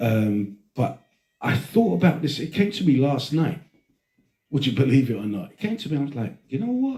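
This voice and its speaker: A man talks at a moderate pace with a fairly high pitch and very wide pitch swings. His tone is dark and mellow, and somewhat breathy. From Britain, Greek heritage. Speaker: podcast host. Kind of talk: casual chat. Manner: animated.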